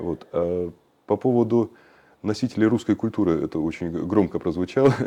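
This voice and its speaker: Over a quiet background, a man with a dark, mellow tone and fairly low pitch speaks at a moderate pace with ordinary pitch variation. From Western Siberia. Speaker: cultural activist. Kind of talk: interview. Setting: studio. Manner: halting.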